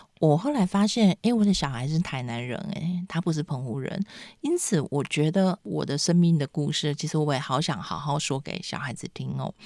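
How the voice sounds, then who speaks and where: A woman with a very deep, low pitch talks fairly quickly with lively intonation and hardly any pauses. The recording is very clean, dry and close, with a silent background and no echo. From Penghu, Taiwan. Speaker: author and writing teacher. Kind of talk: casual interview chat.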